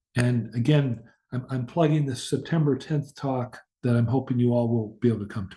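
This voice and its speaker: A man talks with a dark, mellow tone and an American accent. His voice is somewhat breathy. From US Midwest. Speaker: professor. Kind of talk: lecture. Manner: slow.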